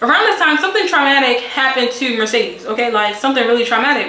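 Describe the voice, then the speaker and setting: A woman talks at a high pitch. The room echo is audible and the background noise is noticeable. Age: 20s. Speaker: beauty and storytime vlogger. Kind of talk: casual storytime monologue. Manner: animated.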